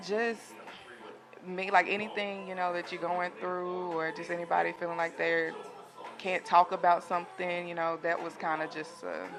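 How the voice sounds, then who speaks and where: A woman with a Southern US accent speaks at a moderate pace with a fairly low pitch and monotone, flat intonation, with music in the background. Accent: Southern country. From US South, Jackson, Tennessee. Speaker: singer. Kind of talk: interview.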